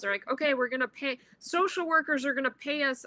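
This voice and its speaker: A woman's high, bright, sharp voice, raised and projected, at a very fast pace with ordinary pitch variation, in a dry, close sound with no echo. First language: not English. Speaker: venture capital investor. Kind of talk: panel Q&A, casual advice.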